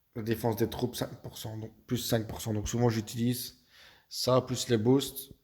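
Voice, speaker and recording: A man at medium pitch in a dark, mellow tone, with monotone, flat intonation and a fairly slow pace, on a very clean recording with a silent background. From Belgium. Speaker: video game youtuber. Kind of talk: gaming tutorial. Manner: hesitant, many fillers.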